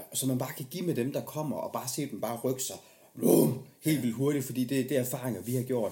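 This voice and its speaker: A man's somewhat breathy voice with a dark, mellow tone sits at a medium pitch, moving at a fairly quick pace with ordinary pitch variation. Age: 30s. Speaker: podcast host. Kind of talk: casual interview chat.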